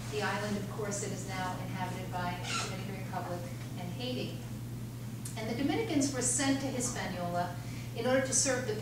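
The speech moves at a fairly quick pace, with audible room echo and loud background noise. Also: woman. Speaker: guest lecturer. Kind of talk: lecture. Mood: serious, measured. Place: hall.

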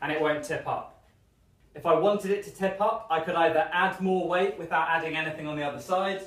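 A high-pitched man at a fairly quick pace, with fairly even intonation and audible room echo. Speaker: fitness instructor. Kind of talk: tutorial. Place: gym. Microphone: camera far.

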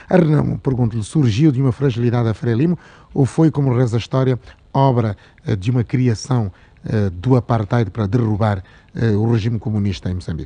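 Somewhat breathy and dark, mellow in tone, a man talks at a fairly quick pace broken by long, frequent pauses. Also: medium pitch for a man, ordinary pitch variation. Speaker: radio host. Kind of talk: interview.

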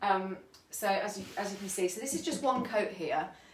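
A woman with a British accent at a moderate pace, ordinary pitch variation, audible room echo and light background noise. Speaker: furniture painter. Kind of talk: live tutorial. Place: home room. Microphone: phone near.

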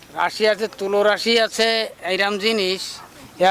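Noticeable background noise sits behind a man with a high voice. He speaks with fairly even intonation. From Bangladesh, Khulna area (Dighalia). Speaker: traditional snake healer and fisherman. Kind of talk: interview. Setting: outdoors. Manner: halting.

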